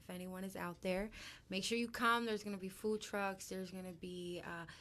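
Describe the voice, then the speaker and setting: Speaking fairly quickly, a woman with a medium pitch keeps a monotone, flat intonation and a bright, sharp tone. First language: Spanish. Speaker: guest host. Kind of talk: casual chat.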